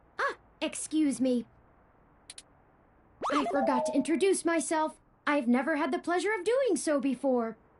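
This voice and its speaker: A put-on character voice, high-pitched, at a moderate pace with long, frequent pauses. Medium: video game. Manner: formal, precise, polite.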